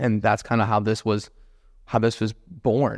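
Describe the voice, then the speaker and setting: In a very clean recording with a silent background, a man at medium pitch speaks at a moderate pace. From US South, Jacksonville, Florida. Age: 20s. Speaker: real estate investor and agent. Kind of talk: solo podcast monologue.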